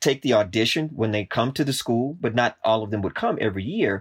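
A man with a normal speaking voice uses ordinary pitch variation. The sound is dry and close with no echo on a very clean recording with a silent background. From US South, Texas. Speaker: professor. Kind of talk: interview.

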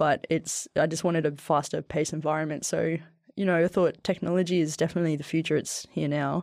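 A woman with an Australian accent and a very deep, low pitch, fairly quick and flat in monotone, with very even loudness, on a very clean recording with a silent background. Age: 30s. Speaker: former soldier and athlete, tech worker. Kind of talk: casual interview chat. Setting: podcast studio.

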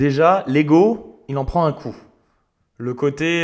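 Ordinary pitch variation shapes delivery at a very slow pace. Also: man. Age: 30s. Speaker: podcast host. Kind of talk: personal monologue. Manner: casual, hesitant with fillers.

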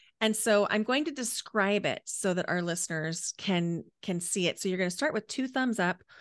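At a moderate pace, a woman speaks at a medium pitch with lively intonation over a quiet background. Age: 40s. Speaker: coach and energy healer. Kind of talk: interview and guided breathing exercise.

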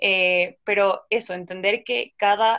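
A woman's medium-pitched voice, bright and sharp in tone, with flat, monotone intonation over a quiet background. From Ecuador, coastal region (La Concordia). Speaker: podcast host. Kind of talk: casual interview.

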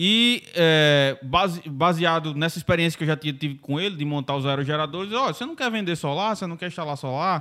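Fairly high in pitch, a man with an unremarkable speaking voice talks at a fairly quick pace with ordinary pitch variation. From Brazil, Mossoró (Rio Grande do Norte). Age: 30s. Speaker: entrepreneur. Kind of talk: casual interview.

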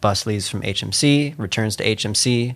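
A man uses a normal speaking voice with fairly low pitch. His pitch variation is ordinary. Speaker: radio show co-host. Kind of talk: casual chat. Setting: studio.

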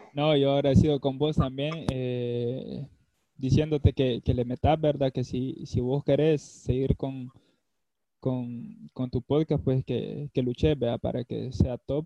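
A very slow pace with fairly even intonation. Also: man, medium pitch for a man. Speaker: former footballer and psychology student. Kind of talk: casual chat.

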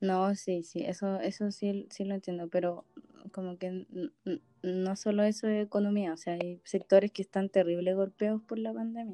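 Here is a woman with a Chilean accent. Her intonation stays fairly even. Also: medium pitch for a woman, moderate pace. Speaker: podcast co-host. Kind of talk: casual chat.

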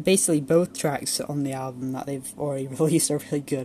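The speaker keeps a moderate pace while music plays behind the voice. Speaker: music reviewer. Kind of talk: solo music review monologue. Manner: hesitant, many fillers.

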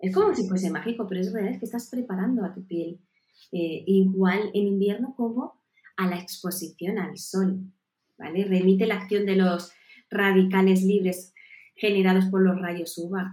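A woman's somewhat breathy voice with a dark, mellow tone, medium pitch, moderate pace and fairly even intonation. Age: 40s. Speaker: nutrition and health advisor. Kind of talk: interview.

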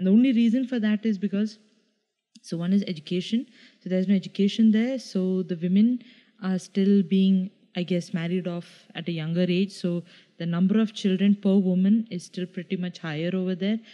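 Fairly quick and fairly even in intonation, the voice has a dark, mellow tone. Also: woman, medium pitch for a woman. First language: Malayalam. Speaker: podcast co-host. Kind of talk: casual chat.

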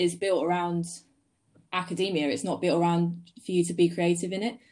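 Talking in a southern English accent, a woman keeps a medium pitch and a moderate pace. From Sussex, southern England. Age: 20s. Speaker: photographer. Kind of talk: interview. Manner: casual.

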